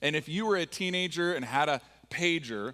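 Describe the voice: A fairly bright tone with an American accent. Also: man.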